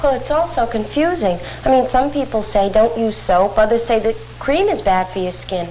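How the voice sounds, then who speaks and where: Noticeable background noise sits behind a woman speaking at a moderate pace in a fairly high pitch with very wide pitch swings. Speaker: actress. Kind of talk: scripted dialogue in an instructional film.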